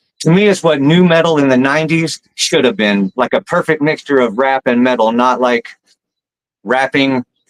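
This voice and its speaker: An ordinary speaking voice from a man with an American accent, medium pitch, ordinary pitch variation and a moderate pace, dry and close with no echo. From US South, Alabama. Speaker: rapper. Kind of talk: casual chat.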